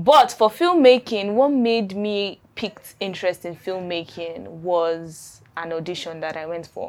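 A woman's medium-pitched voice in a Nigerian accent, fairly slow with hardly any pauses, ordinary pitch variation and big swings in loudness. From Nigeria, Adamawa State. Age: 20s. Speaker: filmmaker. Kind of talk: interview.

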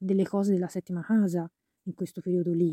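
At a very fast pace, a woman speaks at medium pitch in a dark, mellow tone. The sound is dry and close, with no echo. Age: 30s. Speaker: podcaster on astrology and health; shop owner. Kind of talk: personal monologue. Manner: halting, many fillers.

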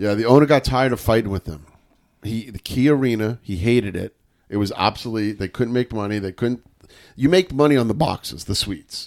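An ordinary speaking voice from a man with an American accent, medium in pitch with ordinary pitch variation, at a fairly quick pace, in a dry, close sound with no echo and a very clean recording over a silent background. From New York. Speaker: sports podcast host. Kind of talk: casual chat.

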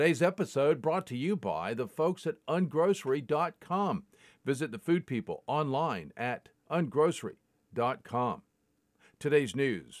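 On a very clean recording with a silent background, a man with a fairly high pitch and vocal fry talks at a fairly slow pace, the sound dry and close with no echo. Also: lively intonation. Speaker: podcast host reading daily crypto news. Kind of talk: newsreading.

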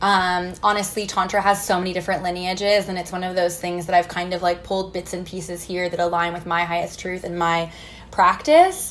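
Amid noticeable background noise, a woman talks at a fairly quick pace in a monotone, flat intonation. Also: medium pitch for a woman. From US Midwest, Missouri small town. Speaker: tantra and intimacy mentor. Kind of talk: casual interview chat. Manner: frequent fillers like 'like' and 'um'.

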